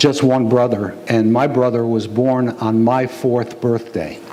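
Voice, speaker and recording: Amid noticeable background noise and audible room echo, a man speaks at medium pitch and a fairly slow pace. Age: 60s. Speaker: pastor. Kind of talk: sermon.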